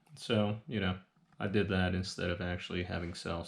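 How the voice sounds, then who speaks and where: At a fairly quick pace, a man with a normal speaking voice talks in fairly even intonation against a quiet background. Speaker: reseller vlogger. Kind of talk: casual vlog talk to camera.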